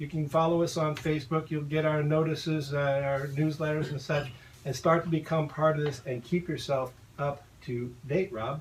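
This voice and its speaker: A somewhat breathy man speaks at a moderate pace with a fairly high pitch and fairly even intonation. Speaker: property manager. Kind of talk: radio talk show.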